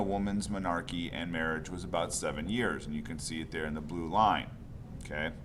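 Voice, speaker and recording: A man speaks at a fairly quick pace, with audible room echo. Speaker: high school psychology teacher. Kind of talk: lecture. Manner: halting, many fillers.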